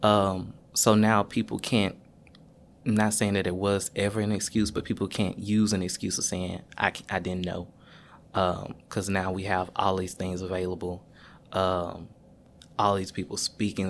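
On a very clean recording with a silent background, a man with a very deep, low pitch talks at a moderate pace in a monotone, flat intonation. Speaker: university staff member, recent graduate. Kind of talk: casual panel conversation.

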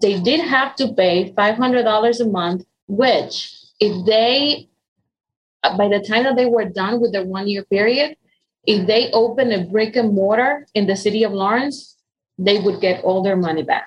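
The accent here is Spanish, from a woman. She talks at a fairly slow speed. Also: fairly high pitch for a woman, ordinary pitch variation. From Dominican Republic. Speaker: nonprofit economic development director. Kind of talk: interview. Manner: hesitant with fillers.

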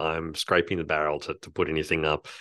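Over a quiet background, a man with an Australian accent talks at a fairly quick pace. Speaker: podcast co-host, film reviewer. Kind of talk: casual chat.

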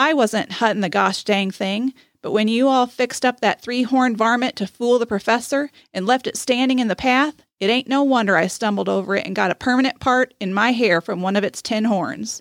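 A woman with a plain, everyday voice speaks at a fairly high pitch, with ordinary pitch variation and a moderate pace. The recording is very clean and dry, close-miked with a silent background and no echo. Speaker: podcast co-host. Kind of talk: reading aloud a tall-tale story, folk narration with character dialogue. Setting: studio. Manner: warm, friendly, conversational.

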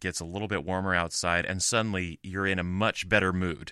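Against a quiet background, a man with an American accent speaks at a moderate pace in a very deep, low pitch with a bright, sharp tone. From US. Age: 40s. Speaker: podcast co-host. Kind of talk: casual chat.

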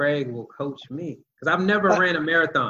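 This man's voice sits at a fairly high pitch and has a bright, sharp tone. His pitch varies in an ordinary way. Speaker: podcast host. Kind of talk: casual interview.

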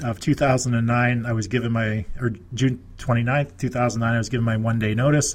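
A man speaks with a Canadian accent in a flat, monotone way. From Nova Scotia, Canada. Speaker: real estate investor and business consultant. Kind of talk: interview.

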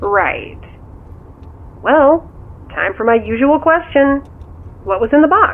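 In a put-on character voice, a woman speaks slowly at a high pitch with big swings up and down.

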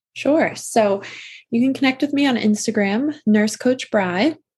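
With an American accent, a woman speaks at a fairly slow pace in a calm, somewhat breathy tone. Her fairly high voice has lively intonation. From Massachusetts. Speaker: nurse coach. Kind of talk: casual interview.

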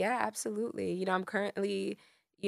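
In a plain, everyday voice, someone with an American accent talks at a fairly quick pace with ordinary pitch variation, in a dry, close sound with no echo on a very clean recording with a silent background. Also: woman. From Miami, Florida. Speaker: singer-songwriter. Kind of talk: casual chat.

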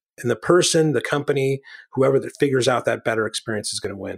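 Talking at a very fast pace with fairly even intonation, a man is heard in a dry, close sound with no echo. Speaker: podcast co-host. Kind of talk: casual chat. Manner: joking.

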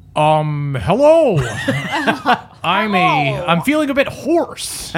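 Over light background noise, a put-on character voice at a middle pitch moves at a very slow pace with very wide pitch swings. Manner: comic.

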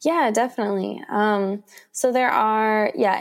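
The recording is very clean, with a silent background. A woman talks with ordinary pitch variation. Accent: Mid-Atlantic American. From Washington, D.C. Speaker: author and photographer. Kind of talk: interview.

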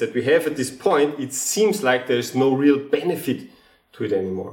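The man's voice sits fairly high and carries vocal fry. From Austria. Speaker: geneticist and comedian. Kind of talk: casual interview chat.

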